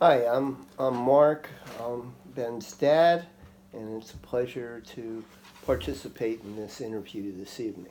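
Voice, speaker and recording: Speaking fairly slowly with an American accent, a man shows ordinary pitch variation. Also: medium pitch for a man. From New York, Long Island. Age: 60s. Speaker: interviewee, father. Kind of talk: interview. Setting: home kitchen. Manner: halting, many fillers.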